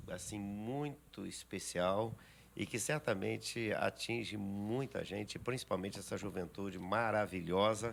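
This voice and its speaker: A man talks at a fairly slow pace in a normal speaking voice, his pitch fairly low with ordinary pitch variation. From Minas Gerais, Brazil (rural). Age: 60s. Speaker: pastor. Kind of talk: podcast interview.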